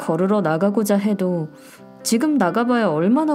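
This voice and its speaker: Over music in the background, a woman speaks in a calm, gentle tone at a medium pitch. Her intonation is lively. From South Korea. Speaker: audio walk podcast host. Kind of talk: reflective podcast monologue. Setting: home studio.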